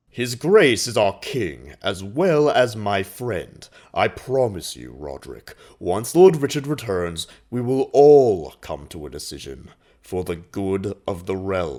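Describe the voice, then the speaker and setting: A put-on character voice, fairly slow, with very wide pitch swings. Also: man, fairly low pitch for a man. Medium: audio drama. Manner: smooth, self-assured.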